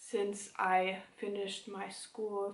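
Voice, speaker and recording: A woman with a German accent, audible room echo around her. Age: 20s. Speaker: knitting podcaster. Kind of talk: casual chat. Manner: halting.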